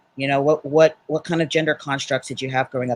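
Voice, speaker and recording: A man with a plain, everyday voice, fairly high in pitch, speaks with fairly even intonation in a dry, close sound with no echo. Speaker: panelist. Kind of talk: panel discussion.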